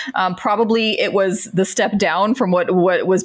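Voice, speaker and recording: A woman with a normal speaking voice, an American accent, medium pitch, fairly even intonation and a fairly slow pace. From Central Florida. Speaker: patient advocate, former pharmacist. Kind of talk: interview conversation.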